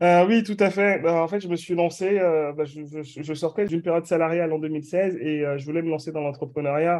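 A man talks at a moderate pace in a high pitch, his intonation fairly even. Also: quiet background. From Benin, moved to France at 14. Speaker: branding consultant. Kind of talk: interview.

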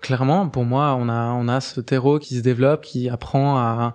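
Over a quiet background, a man talks at a fairly slow pace. His pitch is medium and his intonation fairly even. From Switzerland, Geneva. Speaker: cooperative cofounder. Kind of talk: interview. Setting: studio. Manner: halting, frequent fillers.

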